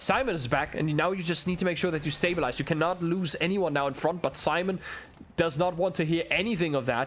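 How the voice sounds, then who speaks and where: A man with a German accent speaks at a high pitch and fairly quick pace, with ordinary pitch variation. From Germany. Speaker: esports caster. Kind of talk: live commentary; casual chat. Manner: animated.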